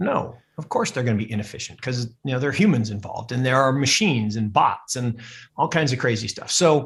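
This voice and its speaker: Speaking at a fairly quick pace, a man with an American accent uses a medium pitch and ordinary pitch variation. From Seattle, US Pacific Northwest. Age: middle-aged. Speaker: investment fund manager. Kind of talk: podcast interview. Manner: loud; animated.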